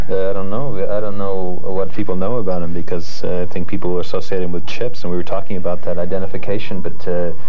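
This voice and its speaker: Speaking very fast in a monotone, flat intonation, a man with a very deep, low pitch is heard over light background noise. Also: very even loudness. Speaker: talk show guest. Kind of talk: interview answer. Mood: warm, complimentary. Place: studio. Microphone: lapel.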